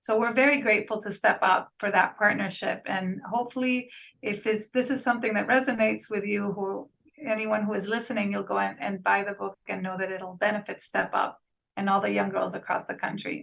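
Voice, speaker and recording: The delivery moves at a fairly quick pace. Intonation stays fairly even throughout. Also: woman, medium pitch for a woman. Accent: Spanish. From Honduras. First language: Spanish. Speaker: PR agency founder. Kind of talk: interview.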